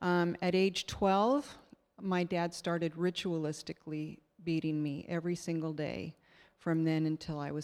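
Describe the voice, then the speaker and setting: In a very clean recording with a silent background, a woman speaks at a moderate pace with a very deep, low pitch and fairly even intonation. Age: 60s. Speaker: church member sharing testimony. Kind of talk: testimony. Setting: stage with audience.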